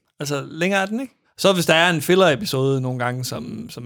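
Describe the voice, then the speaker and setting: The man's intonation is lively. He speaks at a fairly quick pace. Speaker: podcast host. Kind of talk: casual chat. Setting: studio.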